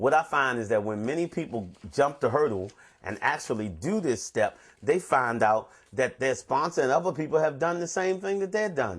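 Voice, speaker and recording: A man speaks at a fairly high pitch. His voice shows very wide pitch swings. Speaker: addiction recovery counselor. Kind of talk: recovery talk on the twelve steps. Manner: fast.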